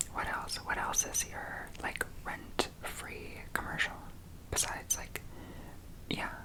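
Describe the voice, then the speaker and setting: A woman whispering in a relaxed tone at a very slow pace, with long, frequent pauses and noticeable background noise. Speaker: ASMR creator. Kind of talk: whispered ASMR ramble for sleep. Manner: whispered, soft, relaxed, chatty.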